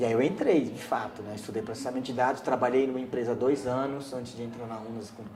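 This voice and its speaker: Over noticeable background noise and audible room echo, a man talks at a fairly quick pace in a medium pitch with fairly even intonation. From Brazil, São Paulo (Heliópolis, grew up there from age 7). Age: 30s. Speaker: community resident interviewee. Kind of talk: oral history interview. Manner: halting, with repetitions.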